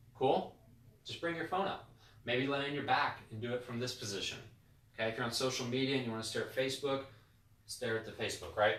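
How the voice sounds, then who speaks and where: Against audible room echo, a man of medium pitch talks at a very fast pace, with long, frequent pauses and ordinary pitch variation. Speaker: chiropractor. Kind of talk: educational talk to camera. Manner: animated, with many repetitions and fillers.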